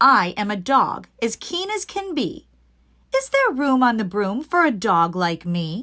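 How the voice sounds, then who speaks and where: A woman's put-on character voice, fairly high and fairly slow, with very wide pitch swings. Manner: eager.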